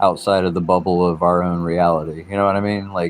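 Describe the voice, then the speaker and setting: Against a quiet background, a man speaks in a very deep, low pitch with monotone, flat intonation. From US South, South Carolina coast. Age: 30s. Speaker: livestreamer. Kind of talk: casual livestream chat. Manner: talkative.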